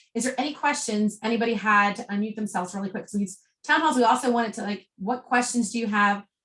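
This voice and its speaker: A woman speaks in a somewhat breathy voice. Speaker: network marketing team leader. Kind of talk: group business call. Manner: fast.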